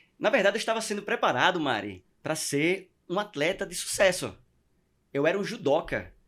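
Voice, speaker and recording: Using a strong northeastern Brazilian accent, a man speaks at a moderate pace with lively intonation and a high pitch. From Northeast Brazil (Maceió, Alagoas). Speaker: podcast guest. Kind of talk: testimony. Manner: halting with repetitions.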